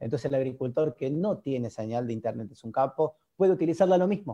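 Speaking very fast with lively intonation, a man with an Argentine accent has a dark, mellow tone and a medium pitch. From Argentina. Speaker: agtech startup founder. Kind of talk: interview. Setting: video call.

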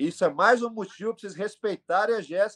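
This man has a high-pitched voice. The sound is dry and close, with no echo. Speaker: MMA coach and team owner. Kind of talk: casual interview.

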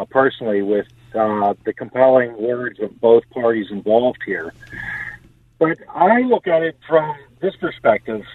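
At a fairly slow pace, a man uses an ordinary speaking voice with medium pitch and lively intonation. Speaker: caller. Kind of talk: call-in radio comment. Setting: phone call.

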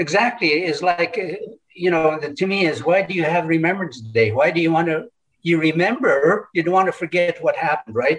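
Fairly quick pace and ordinary pitch variation in a high-pitched male voice. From northern British Columbia, Canada. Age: 70s. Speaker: residential school survivor. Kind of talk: testimony.

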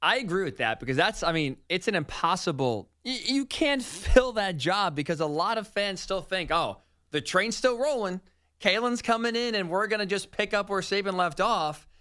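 A raised, projected voice with a bright, sharp tone and lively intonation goes at a moderate pace. The recording is very clean, with a silent background. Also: man, high pitch for a man. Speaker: radio host. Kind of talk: casual chat.

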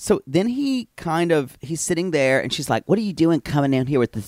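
In a normal speaking voice, a man talks at a moderate pace with lively intonation, recorded very cleanly against a silent background, with a dry, close sound and no echo. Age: 40s. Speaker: podcast host. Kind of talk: casual chat, recap banter.

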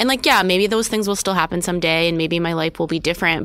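A woman talks with an American accent and ordinary pitch variation. Noticeable background noise can be heard. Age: 30s. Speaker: social media manager, writer. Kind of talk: casual chat.

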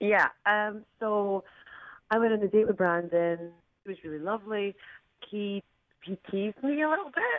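Someone with a Scottish accent talks at a moderate pace with ordinary pitch variation, leaving long, frequent pauses. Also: woman, medium pitch for a woman. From Scotland. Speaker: caller. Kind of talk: casual chat. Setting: phone call.

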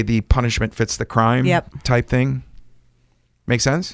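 On a very clean recording with a silent background, a man talks at a medium pitch and a moderate pace. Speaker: podcast host.

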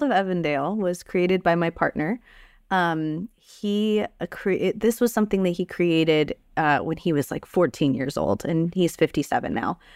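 Recorded very cleanly with a silent background and a dry, close sound with no echo, a woman speaks in a normal speaking voice at medium pitch, with ordinary pitch variation and a moderate pace. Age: 30s. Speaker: tabletop game writer and streamer. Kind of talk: casual interview.

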